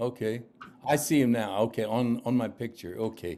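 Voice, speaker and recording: At a fairly slow pace, a man with a dark, mellow tone speaks with ordinary pitch variation. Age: 80s+. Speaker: retired military veteran, user group member. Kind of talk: casual chat. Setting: video call. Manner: halting.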